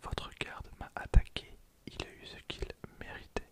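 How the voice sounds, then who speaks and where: Whispering in a calm tone, a man speaks at a very slow pace. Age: 20s. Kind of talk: ASMR card pack opening. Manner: whispered, close to microphone; calm, relaxing.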